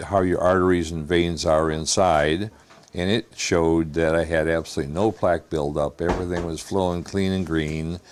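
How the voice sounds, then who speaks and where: A man speaks in a very deep, low voice. His delivery is monotone and flat, at a moderate pace. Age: 70s. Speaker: patient giving a testimonial. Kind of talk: testimony. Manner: halting, many fillers.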